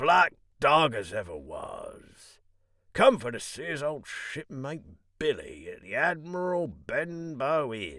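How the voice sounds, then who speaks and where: A man puts on a raspy character voice that is fairly high in pitch. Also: fairly slow pace. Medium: read story. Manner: half fawning, half sneering.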